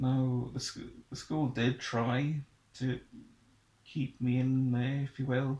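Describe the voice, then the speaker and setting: A man with a South Welsh accent speaks very slowly with long, frequent pauses, in a somewhat breathy, dark, mellow voice at medium pitch, with monotone, flat intonation. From Wales, Pembrokeshire (Haverfordwest). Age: 20s. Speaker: young person sharing life story. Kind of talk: personal testimony interview. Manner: halting, with hesitations and restarts.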